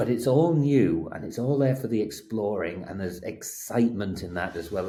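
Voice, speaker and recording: At a moderate pace, a dark, mellow voice with lively intonation is heard with audible room echo. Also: man. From England (working-class area). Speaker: advertising strategist. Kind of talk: casual interview chat. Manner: halting, repeats words.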